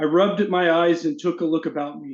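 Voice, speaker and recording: In a monotone, flat intonation, a man with an American accent speaks at a fairly high pitch. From US South, Arkansas. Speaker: fantasy author. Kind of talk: casual chat; reading aloud.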